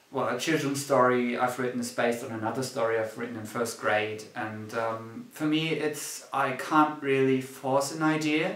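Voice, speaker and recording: A man with a German accent speaks at a medium pitch and a moderate pace, with fairly even intonation and hardly any pauses. There is noticeable background noise and audible room echo. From Germany. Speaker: student writer and screenwriter. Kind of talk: casual chat. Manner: halting.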